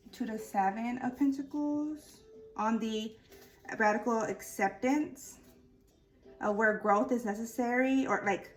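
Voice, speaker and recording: Over music in the background, a woman with a fairly high voice speaks at a fairly slow pace with long, frequent pauses and ordinary pitch variation. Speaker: tarot reader. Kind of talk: tarot reading. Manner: slow and relaxed; halting, many fillers.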